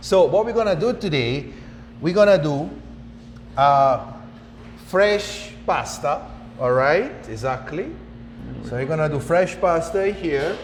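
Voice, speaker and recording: A man with an Italian accent speaks fairly slowly at a fairly high pitch, using lively intonation and long, frequent pauses. Noticeable background noise and audible room echo are present. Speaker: chef instructor. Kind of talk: cooking tutorial.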